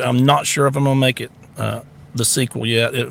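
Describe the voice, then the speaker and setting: In a North Florida accent, a man speaks at a moderate pace. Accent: country Southern, North Florida. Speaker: podcast host, social media personality. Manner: casual, folksy.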